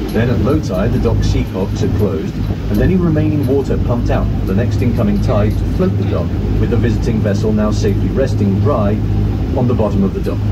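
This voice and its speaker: A man talks very fast. Behind him, music plays. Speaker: boat trip guide. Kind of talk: tour commentary. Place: boat.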